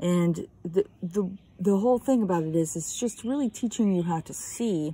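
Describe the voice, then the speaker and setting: A woman's somewhat breathy, dark and mellow voice at a fairly slow pace. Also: dry sound with no echo. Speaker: art teacher. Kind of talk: drawing tutorial. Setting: outdoors. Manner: calm. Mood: calm, relaxed. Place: garden. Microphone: phone near.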